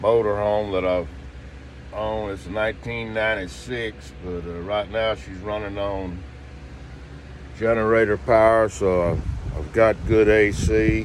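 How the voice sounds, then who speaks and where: Fairly slow pace with long, frequent pauses, ordinary pitch variation and big swings in loudness. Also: man, fairly low pitch for a man. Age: 60s. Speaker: hurricane survivor vlogger. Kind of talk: casual video diary. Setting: inside a motorhome. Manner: halting, many fillers.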